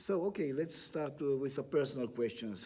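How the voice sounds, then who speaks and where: Speaking with a Romanian accent, a man uses a medium pitch and a dark, mellow tone at a moderate pace. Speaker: magazine interviewer. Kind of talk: interview.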